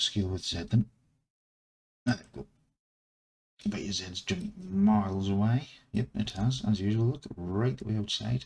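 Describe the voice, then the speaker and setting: Whispering at a moderate pace, a man sounds somewhat breathy and leaves long, frequent pauses. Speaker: 3D modelling screencaster. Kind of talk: screencast work commentary, talking to himself. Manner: whispering, quiet. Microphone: mic placed far away.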